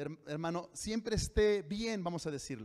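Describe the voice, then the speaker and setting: Against a quiet background, a man speaks at a high pitch and moderate pace with ordinary pitch variation. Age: 40s. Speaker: pastor. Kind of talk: sermon. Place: church. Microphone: handheld.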